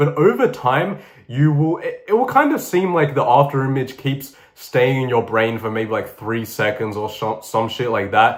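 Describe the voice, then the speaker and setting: The man's voice sits at medium pitch, somewhat breathy, with an animated tone. His intonation is lively and his pace moderate. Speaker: YouTuber. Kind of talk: tutorial. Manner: casual, animated.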